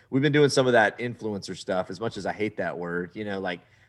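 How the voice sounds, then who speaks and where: Lively intonation carries a Texan accent in a very clean recording with a silent background. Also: man. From Southeast Texas. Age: 40s. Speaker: travel TV show host. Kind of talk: casual interview. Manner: animated.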